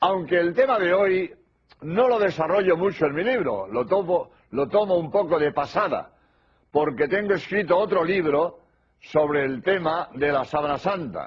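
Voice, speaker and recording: Speaking at a fairly slow pace, a man uses a high pitch. His intonation is lively. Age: 80s+. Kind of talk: religious lecture.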